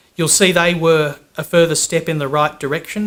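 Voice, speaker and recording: Fairly quick and with fairly even intonation, a man delivers his lines. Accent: Australian. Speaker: employer association executive. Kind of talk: conference talk. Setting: conference with audience.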